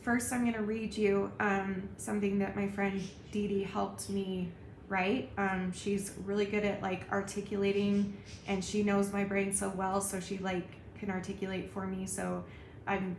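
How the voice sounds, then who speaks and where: In a room with audible echo, a woman talks at a moderate pace with a medium pitch. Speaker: YouTuber. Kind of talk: vlog commentary. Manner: subdued, not bubbly.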